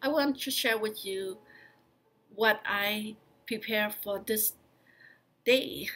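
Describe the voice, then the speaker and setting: Someone with a non-native accent speaks at a very slow pace in a bright, sharp tone, with long, frequent pauses and fairly even intonation on a very clean recording with a silent background. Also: woman, fairly high pitch for a woman. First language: not English. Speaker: county employee and vlogger. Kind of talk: personal vlog talk. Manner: halting, with fillers.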